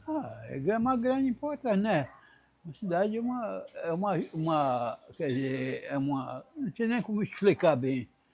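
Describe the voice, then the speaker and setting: Pitch swings very widely as this speaker talks at a moderate pace. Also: man, high pitch for a man. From Amazonas interior, Brazil. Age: 90s. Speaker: elderly local resident. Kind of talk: interview testimony. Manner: halting.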